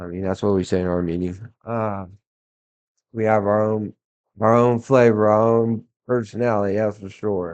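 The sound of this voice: A man at a moderate pace, fairly low in pitch, with a slightly mellow tone and little pitch movement.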